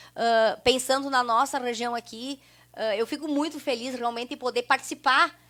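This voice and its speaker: A woman's high-pitched voice shows ordinary pitch variation and moves at a moderate pace. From southern Brazil, rural Santa Rosa area (Rio Grande do Sul). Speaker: researcher of local immigrant history. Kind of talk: interview conversation. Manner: hesitant, many fillers and repetitions.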